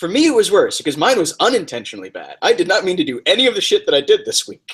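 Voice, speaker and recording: Talking at a very fast pace, a man swings widely in loudness. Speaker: fitness RPG video host. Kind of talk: casual chat. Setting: video recording. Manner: halting, stuttery.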